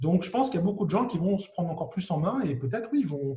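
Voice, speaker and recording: A man talks at a very fast pace. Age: 40s. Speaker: business angel investor. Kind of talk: interview.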